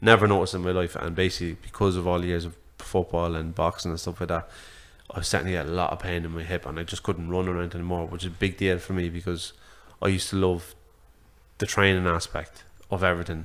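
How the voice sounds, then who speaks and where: A very fast, monotone, flat delivery in an Irish accent on a very clean recording with a silent background. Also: man, very deep, low pitch for a man. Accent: Irish (Louth). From Ireland, Drogheda. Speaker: boxing social media creator. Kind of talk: podcast conversation. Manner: halting, many fillers.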